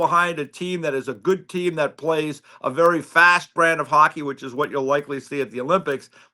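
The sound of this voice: In a very clean recording with a silent background, a man speaks with a bright, sharp tone at a fairly high pitch.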